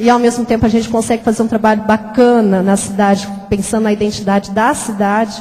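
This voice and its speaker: This woman's voice holds a very even loudness. Her intonation is monotone and flat. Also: fairly quick pace, hardly any pauses. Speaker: museum staff member; audience member. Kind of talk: audience question. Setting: stage with audience. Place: hall.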